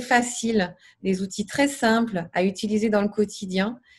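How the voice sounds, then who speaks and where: Somewhat breathy, a woman speaks with ordinary pitch variation against a quiet background. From Paris region, France. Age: 30s. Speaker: massage therapist, coaching client. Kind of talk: testimony. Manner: halting, many fillers.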